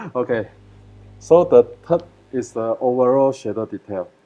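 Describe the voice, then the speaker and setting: Music plays in the background as a man talks at a fairly slow pace, medium in pitch with ordinary pitch variation. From Malaysia. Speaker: photographer. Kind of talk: live webinar presentation. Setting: live video stream. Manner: halting, many fillers.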